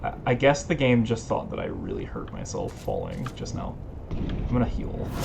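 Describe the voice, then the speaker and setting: Audible room echo and noticeable background noise fill the recording. Through it, a man talks at a moderate pace. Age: 20s. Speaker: video game streamer. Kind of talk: casual gameplay commentary. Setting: live stream. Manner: hesitant, many fillers.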